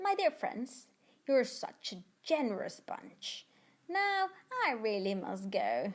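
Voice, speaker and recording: Using a put-on character voice, a woman speaks at a high pitch with long, frequent pauses. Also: fairly slow pace. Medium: read story. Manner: polite, charming.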